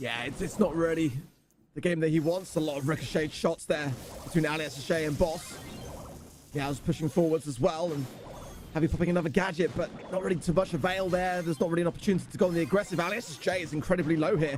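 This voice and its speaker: A man talks at a very fast pace with a British accent and a high pitch. His pitch varies in an ordinary way, and background noise is noticeable. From Britain. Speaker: esports caster. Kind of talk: live commentary.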